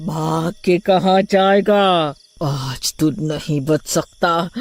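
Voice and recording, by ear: A cartoonish character voice goes at a very slow pace with fairly even intonation. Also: woman, low pitch for a woman.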